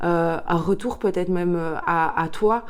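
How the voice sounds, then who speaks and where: With noticeable noise behind her, a woman talks fairly slowly in a fairly low voice. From Belgium, Liège. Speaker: tarot card reader. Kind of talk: tarot reading guidance. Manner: hesitant, many filler sounds.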